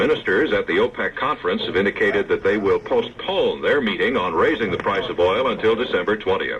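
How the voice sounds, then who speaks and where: A man speaks at a fairly quick pace with very even loudness. There is noticeable background noise. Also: hardly any pauses. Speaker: radio newscaster. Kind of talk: radio news reading. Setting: vintage AM radio broadcast.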